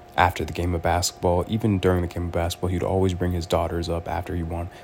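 A man speaks in a very deep, low voice. His intonation is flat and monotone. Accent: American. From Los Angeles, US West Coast. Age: 20s. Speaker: podcaster. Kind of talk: solo podcast monologue. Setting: in bed at home.

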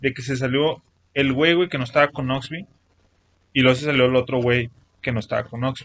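At a fairly quick pace, a man with medium pitch and fairly even intonation speaks with long, frequent pauses. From Mexico. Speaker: podcast co-host. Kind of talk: casual chat. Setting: improvised home studio.

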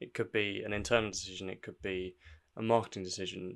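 A man's plain, everyday voice, fairly low in pitch, at a fairly quick pace with fairly even intonation. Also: very clean recording, silent background. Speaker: personal branding podcaster. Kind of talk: solo scripted-style podcast monologue with tips. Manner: informal, conversational, with fillers.

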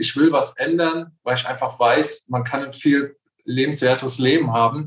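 The man's intonation holds fairly even, and his voice comes across somewhat breathy. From Palatinate, Germany. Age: 30s. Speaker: coaching client. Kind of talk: casual interview.

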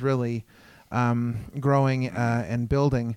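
A man talks with a plain, everyday voice at medium pitch and fairly even intonation. The sound is dry and close, with no echo. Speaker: podcast host. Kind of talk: casual interview. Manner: frequent filler words.

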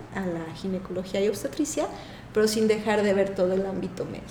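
A woman speaks at a medium pitch, with audible room echo and noticeable background noise in the recording. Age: 50s. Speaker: physician. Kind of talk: interview.

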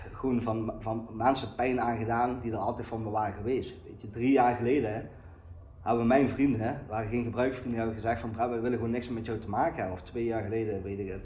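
A man speaks at a medium pitch in a flat monotone, somewhat breathy. Room echo is audible. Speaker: recovering addict sharing at a meeting. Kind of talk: recovery meeting testimony. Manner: halting, many repetitions and fillers.

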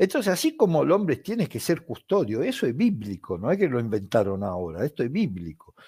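Dry and close with no echo, a man at medium pitch lets his voice swing very widely in pitch. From Italy. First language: Italian (speaking Spanish). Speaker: football commentator. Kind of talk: interview. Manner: animated.

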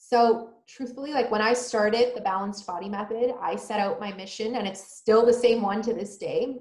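A woman with a plain, everyday voice speaks at a moderate pace and fairly high pitch, with fairly even intonation and hardly any pauses. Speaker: holistic nutritionist. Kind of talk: casual interview chat.

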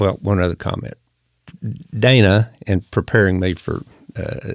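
This man has a fairly low pitch. The recording is very clean, with a silent background. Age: 60s. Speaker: podcast host and retired executive. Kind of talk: casual interview conversation.

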